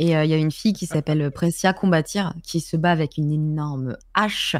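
Against a quiet background, a woman speaks at a moderate pace with a dry sound and no echo. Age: 20s. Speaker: Twitch streamer. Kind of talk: casual chat. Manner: hesitant, many fillers. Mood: relaxed, friendly. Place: home room. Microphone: studio mic.

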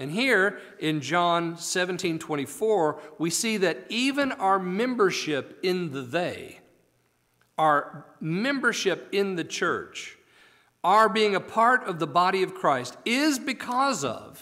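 A man speaks at a very slow pace in a high pitch, his voice raised and projected, with lively intonation. The tone is bright and sharp, and the background is quiet. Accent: American. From United States. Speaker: preacher. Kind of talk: sermon. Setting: church. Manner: animated, exclamatory pulpit delivery with rhetorical questions; formal, earnest, teaching cadence. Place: church. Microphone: podium.

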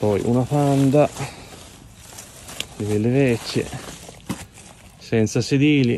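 The speaker talks at a very slow pace with fairly even intonation and long, frequent pauses, in dry sound with no echo and light background noise. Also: man. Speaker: urban explorer vlogger. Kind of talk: walkthrough video commentary. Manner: quiet, speaking low. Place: open country. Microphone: phone near.

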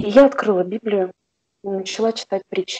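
With a dark, mellow tone, the woman's voice rises and falls in an ordinary way. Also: dry, close sound with no echo. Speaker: shift worker, class participant. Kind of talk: testimony. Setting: video call.

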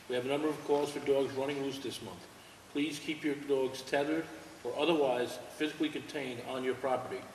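A man's monotone, flat delivery with audible room echo and light background noise. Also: fairly quick pace. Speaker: town board member. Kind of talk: public town board meeting. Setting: town hall meeting with public present. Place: meeting room.

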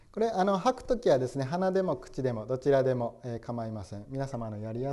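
A man's dark, mellow tone at a medium pitch, with lively intonation and a moderate pace. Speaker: Zen priest leading meditation. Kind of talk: guided meditation with spoken instruction. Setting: meditation session for an audience. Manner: formal, polite, with frequent fillers. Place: hall.

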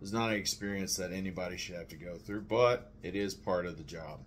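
With an American accent, the speaker keeps a moderate pace. Intonation is fairly even, with light background noise. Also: man. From Texas. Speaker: navy veteran, video creator. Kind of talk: personal testimony to camera. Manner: halting, with many fillers. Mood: serious, reflective. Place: kitchen.

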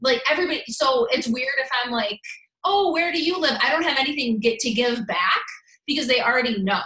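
In a raised, projected voice, a woman speaks at a high pitch and a fairly quick pace with lively intonation. Audible room echo fills the space. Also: quiet background. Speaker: fitness business coach, former teacher. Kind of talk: training talk. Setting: video call. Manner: fast, casual, energetic. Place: home room. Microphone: video call.

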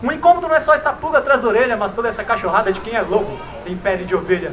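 Over light background noise, a man talks at a very fast pace in a high pitch with lively intonation. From Brazil, São Paulo east side. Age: young. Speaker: slam poet. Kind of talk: spoken word performance. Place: street. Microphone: handheld.

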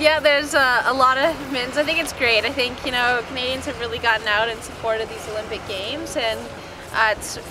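A woman speaks at a very fast pace in a high voice, with ordinary pitch variation. Music plays behind her, and the sound is dry with no echo. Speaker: interviewee. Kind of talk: interview answer. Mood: cheerful, laughing. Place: street.

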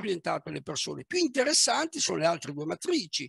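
A raised, projected voice with a bright, sharp tone comes through dry with no echo against a quiet background. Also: man. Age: 60s. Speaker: manager and business coach; speaker. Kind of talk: talk on leadership; guided visualization. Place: home room. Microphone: headset.

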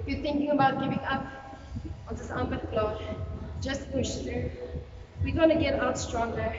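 A woman speaks at a moderate pace over loud background noise. The room adds audible echo. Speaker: fitness instructor. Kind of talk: workout instruction. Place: gym. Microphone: camera far.

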